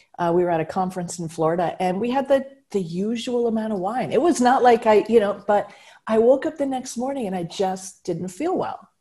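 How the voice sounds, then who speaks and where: Fairly quick and lively in intonation, a woman speaks at a fairly high pitch in a dark, mellow, somewhat breathy tone on a very clean recording with a silent background. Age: 50s. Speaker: speaker and humor strategist. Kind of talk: casual chat.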